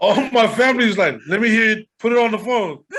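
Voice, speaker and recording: This man's voice sits high in pitch. His delivery is fairly slow. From Long Beach, California. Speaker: rapper. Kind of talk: casual interview chat.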